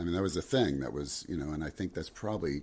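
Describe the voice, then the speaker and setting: A man with an American accent and vocal fry. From New Jersey. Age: 60s. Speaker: singer-songwriter and guitarist. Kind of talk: casual interview chat.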